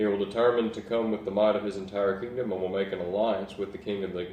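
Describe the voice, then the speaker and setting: Fairly quick delivery with fairly even intonation. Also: man. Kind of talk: bible reading. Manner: casual, hesitant.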